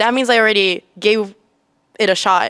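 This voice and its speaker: In a Japanese accent, a woman speaks with a dry, close sound that has no echo. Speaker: university student teaching assistant. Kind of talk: interview. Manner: casual, animated.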